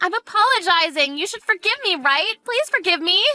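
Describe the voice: With faint music in the background, a woman puts on a character voice at an extremely high pitch, using a bright, sharp tone, lively intonation and a fairly quick pace.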